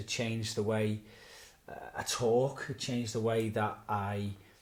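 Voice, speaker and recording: A man speaks with monotone, flat intonation. His voice is somewhat breathy. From Birkenhead, Merseyside, northern England. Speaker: pastor. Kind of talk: interview. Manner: hesitant, with filler words.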